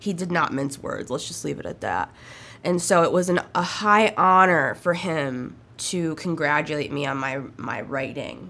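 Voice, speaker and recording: A woman with vocal fry speaks at a fairly slow pace and a very deep, low pitch, with ordinary pitch variation. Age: 30s. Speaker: solo podcaster. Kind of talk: personal testimony monologue. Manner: halting.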